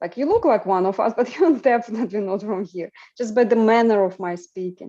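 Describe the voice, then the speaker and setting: Against a quiet background, a woman with an Eastern European accent talks at a fairly quick pace in a dark, mellow tone, with fairly high pitch and ordinary pitch variation. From Ukraine, rural. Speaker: podcast host. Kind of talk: casual discussion.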